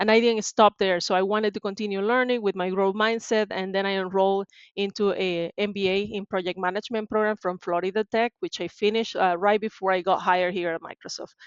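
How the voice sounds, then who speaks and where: Very fast, monotone, flat delivery from a woman with a Venezuelan accent, medium pitch and hardly any pauses. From Venezuela, Maracaibo. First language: Spanish. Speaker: tech sales professional. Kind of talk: interview.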